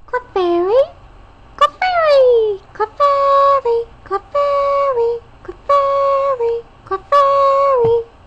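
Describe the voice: A put-on character voice at an extremely high pitch speaks at a very slow pace with long, frequent pauses.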